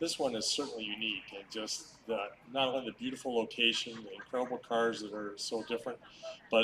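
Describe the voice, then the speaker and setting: Using an ordinary speaking voice, a man talks at a medium pitch and a moderate pace. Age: 60s. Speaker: retired car designer. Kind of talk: short speech at event.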